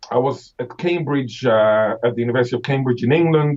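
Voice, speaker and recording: Somewhat breathy and very fast, the voice shows ordinary pitch variation. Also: man. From Israel. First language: Hebrew (Israeli). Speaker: professor of linguistics. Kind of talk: interview.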